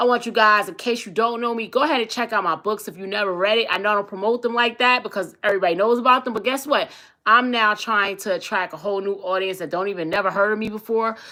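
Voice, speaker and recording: A woman's fairly high, bright and sharp voice, animated in tone, very fast with hardly any pauses and ordinary pitch variation. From East New York, Brooklyn. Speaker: talk show host and relationship coach. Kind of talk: casual livestream talk show monologue.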